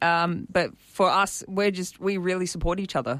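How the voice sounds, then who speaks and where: A woman talks with an Australian accent and fairly even intonation. The recording is very clean, with a silent background. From Sydney North Shore, Australia. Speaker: amateur cricketer and new sports broadcaster. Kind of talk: interview.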